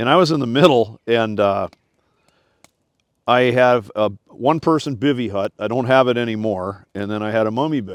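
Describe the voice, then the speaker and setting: A man with a normal speaking voice, an American accent, medium pitch, a moderate pace and ordinary pitch variation. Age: 60s. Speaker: search and rescue captain. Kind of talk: casual chat.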